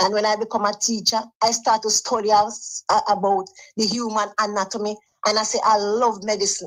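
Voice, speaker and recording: A woman with a Jamaican accent, medium pitch, moderate pace. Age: 70s. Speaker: caller. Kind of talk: phone-in chat.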